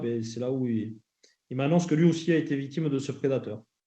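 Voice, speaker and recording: With a southwestern French accent, a man talks at a moderate pace in a dark, mellow tone with fairly even intonation. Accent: southwestern French (Landes). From southwestern France, Landes. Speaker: association director, former rugby player, abuse survivor. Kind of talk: testimony at parliamentary hearing. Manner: halting, many hesitations.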